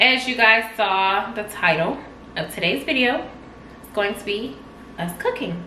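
A woman speaks at a fairly slow pace with big swings in loudness, in a room with audible echo and light background noise. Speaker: vlog co-host. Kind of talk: casual vlog chat. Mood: playful, joking banter. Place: kitchen. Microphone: camera far.

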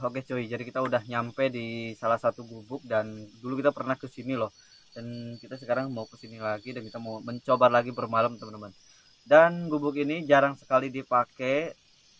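The man talks at a fairly quick pace with fairly even intonation, and the sound is dry with no echo. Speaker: camping vlogger. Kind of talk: casual vlog chat. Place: open country. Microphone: phone near.

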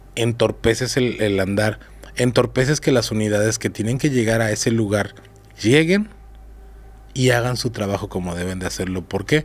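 With ordinary pitch variation, a man talks at a moderate pace in a fairly low pitch. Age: 40s. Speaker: bodyguard; podcast guest. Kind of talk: casual interview. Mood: candid, serious. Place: studio. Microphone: studio mic.

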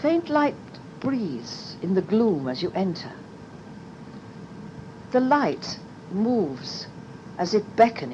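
The pitch swings very widely at a very slow pace, broken by long, frequent pauses. Noticeable background noise sits behind it. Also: woman, medium pitch for a woman. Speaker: meditation guide. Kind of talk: guided meditation pathworking.

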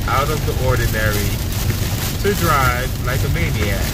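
The sound is dry with no echo as a man speaks at a moderate pace through loud background noise. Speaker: driver vlogger. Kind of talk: casual vlog chat. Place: car. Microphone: phone near.

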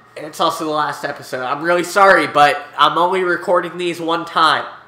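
Noticeable background noise sits under this recording. A man speaks at a moderate pace with a high pitch. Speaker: gaming video creator. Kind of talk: let's play commentary. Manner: animated.

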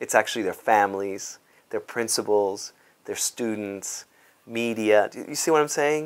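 Delivery moves at a moderate pace with ordinary pitch variation. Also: man. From Cuba, raised in South Bronx, New York; Cuba. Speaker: dance company artistic director. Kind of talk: interview monologue; interview answer. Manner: halting, many fillers. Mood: warm, animated, smiling. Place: office. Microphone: lapel.

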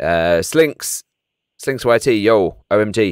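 Lively intonation and vocal fry mark this man's speech. The sound is dry and close with no echo, on a very clean recording with a silent background. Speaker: gaming streamer. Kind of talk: live stream commentary. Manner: animated.

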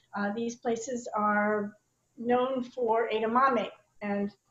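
Audible room echo surrounds a woman's high-pitched voice with ordinary pitch variation. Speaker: presenter. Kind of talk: tutorial. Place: kitchen. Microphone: video call.

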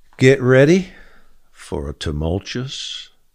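Against a quiet background, a man speaks very slowly in a very deep, low voice with vocal fry and very wide pitch swings. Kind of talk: fervent prayer and decree, preaching; daily devotional post read aloud. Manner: earnest, impassioned; urgent, rallying. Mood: calm, earnest, reverent. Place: studio. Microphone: studio mic.

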